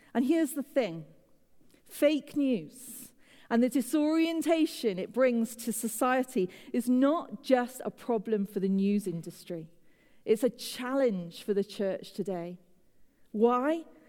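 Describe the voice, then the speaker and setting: A woman with a British accent, a high pitch, a dark, mellow tone, lively intonation and a fairly slow pace. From Britain. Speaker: pastor. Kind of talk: sermon. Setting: church with congregation.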